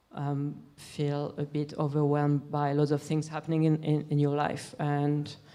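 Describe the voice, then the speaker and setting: In a French accent, a woman speaks with a very deep, low pitch and a dark, mellow tone. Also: very clean recording, silent background. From France. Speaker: musician. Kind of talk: interview Q&A. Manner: halting.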